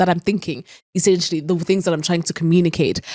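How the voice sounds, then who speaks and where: In a dry, close recording with no echo, a woman talks in a fairly low voice with an animated tone. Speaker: podcast host. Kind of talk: solo podcast monologue. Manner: fast.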